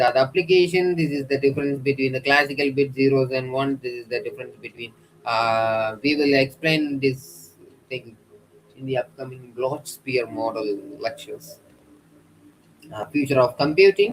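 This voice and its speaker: A man speaks with an Indian accent and a somewhat breathy voice. His pitch rises and falls in an ordinary way. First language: an Indian language. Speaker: lecturer. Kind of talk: lecture. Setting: YouTube livestream. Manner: halting, frequent uh fillers.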